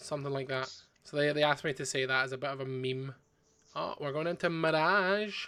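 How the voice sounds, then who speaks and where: A man with a fairly high pitch and a bright, sharp tone speaks at a fairly quick pace with ordinary pitch variation. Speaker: card game stream co-host and commentator. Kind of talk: live game commentary.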